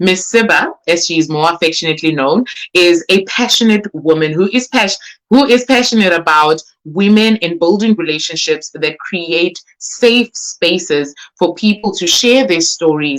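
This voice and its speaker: Using lively intonation and an animated tone, a woman speaks at a moderate pace with a fairly low pitch. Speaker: book launch host. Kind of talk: live-streamed event hosting. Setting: live stream on Facebook. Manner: loud.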